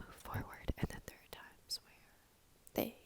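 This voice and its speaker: Whispering, a woman is heard with a dry, close sound and no echo. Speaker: book reviewer. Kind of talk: ASMR book review. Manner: whispered, soft-spoken.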